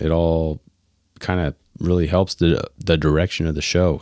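In a very clean recording with a silent background and a dry, close sound free of echo, a man with a very deep, low pitch speaks at a moderate pace with fairly even intonation. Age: 30s. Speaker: podcast host. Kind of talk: solo casual podcast monologue. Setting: office. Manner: halting.

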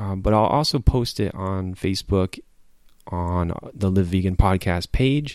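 In a very clean recording with a silent background, a man talks at a fairly slow pace with ordinary pitch variation in a plain, everyday voice. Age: 40s. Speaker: podcast host. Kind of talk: casual chat; reading aloud.

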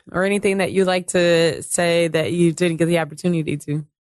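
A woman talks in a plain, everyday voice at a medium pitch and a moderate pace. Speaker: podcast host. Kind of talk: interview.

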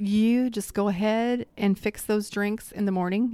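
A woman's ordinary speaking voice, fairly high in pitch, with ordinary pitch variation and a fairly slow pace. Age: 30s. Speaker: lifestyle coach and podcast co-host. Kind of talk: casual chat.

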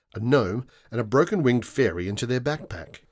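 This clip features a natural reading voice.

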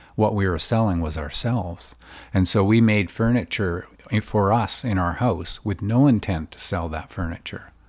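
A man with a fairly low pitch talks at a moderate pace and ordinary pitch variation in a very clean recording over a silent background. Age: 60s. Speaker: furniture maker. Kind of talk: casual interview. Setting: home workshop. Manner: halting.

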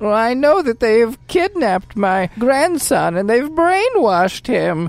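At a fairly slow pace, a woman talks in a fairly high pitch with very wide pitch swings. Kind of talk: comic old-lady voice. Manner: pleading, fussy, indignant.

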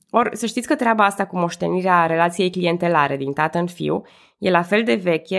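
In a very clean recording with a silent background, a woman with a fairly low voice and vocal fry talks at a moderate pace. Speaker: history podcaster. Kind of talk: history narration.

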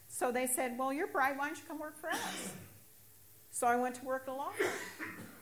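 A high-pitched woman with an American accent is heard through audible room echo and noticeable background noise. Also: ordinary pitch variation, moderate pace. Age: 60s. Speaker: recovering alcoholic sharing testimony. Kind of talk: testimony.

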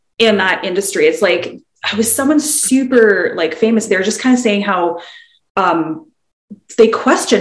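Here a woman speaks at a moderate pace with a fairly high pitch and lively intonation. Room echo can be heard. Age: 30s. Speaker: podcast co-host. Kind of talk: casual chat. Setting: video call.

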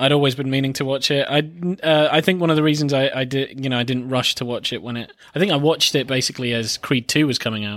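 At a very fast pace with hardly any pauses, a man with a southern English accent speaks in a fairly high voice with ordinary pitch variation. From England. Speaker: film podcast co-host. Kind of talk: casual chat.

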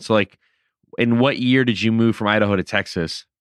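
A man's unremarkable speaking voice, fairly low in pitch, at a fairly quick pace, dry and close with no echo, over a quiet background. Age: 30s. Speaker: podcast host, former touring musician. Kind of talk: interview. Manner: casual.

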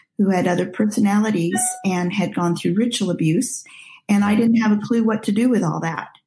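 A woman speaks at a moderate pace with an American accent, her pitch medium with ordinary variation. Music plays in the background. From Nigeria, later US from age 14. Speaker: pastoral counselor. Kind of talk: interview.

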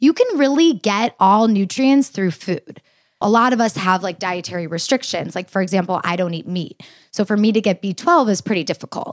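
A woman speaks in an unremarkable speaking voice with lively intonation. The recording is very clean, with a silent background, and the sound is dry and close, with no echo. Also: medium pitch for a woman, moderate pace. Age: 20s. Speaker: dietitian. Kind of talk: interview.

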